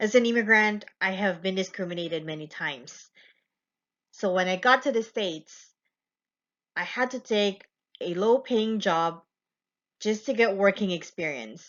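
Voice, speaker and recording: A woman at medium pitch speaks with a non-native accent, leaving long, frequent pauses. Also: ordinary pitch variation. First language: not English. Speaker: student. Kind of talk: class presentation. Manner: slow, deliberate.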